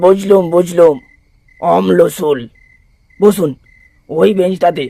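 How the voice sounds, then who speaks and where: A man puts on a character voice pitched high. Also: fairly slow pace. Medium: read story. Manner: rude, brusque, barking.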